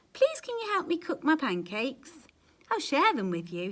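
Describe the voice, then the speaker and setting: Putting on a character voice, a woman speaks at a high pitch and a moderate pace with very wide pitch swings. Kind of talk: bedtime story. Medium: read story. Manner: polite, mild.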